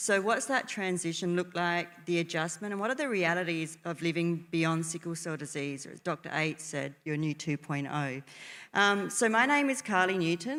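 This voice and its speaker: A woman with an Australian accent talks at a fairly quick pace and fairly low pitch. The recording is very clean with a silent background. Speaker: nurse and panel moderator. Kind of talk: panel moderation. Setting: stage with audience.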